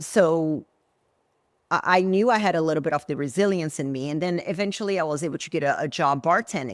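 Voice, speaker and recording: Lively intonation and a fairly quick pace mark this speaker with a Portuguese accent. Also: woman, fairly low pitch for a woman. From Brazil. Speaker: former bodybuilding champion, entrepreneur. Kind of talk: interview podcast. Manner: animated.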